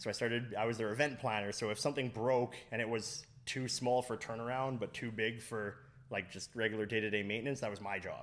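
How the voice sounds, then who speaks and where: In an ordinary speaking voice, a man at medium pitch talks at a fairly quick pace with fairly even intonation and hardly any pauses. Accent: Canadian. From Fort McMurray, Alberta, Canada. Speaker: cider business owner. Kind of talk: casual interview. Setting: on location at a cider business.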